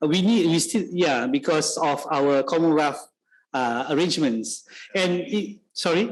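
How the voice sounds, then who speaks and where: A man speaks at a fairly high pitch with lively intonation and very even loudness. Audible room echo surrounds his voice. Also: fairly slow pace. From Malaysia, Sarawak. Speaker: university lecturer. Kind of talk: guest lecture Q&A. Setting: lecture room with audience. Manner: halting, many fillers.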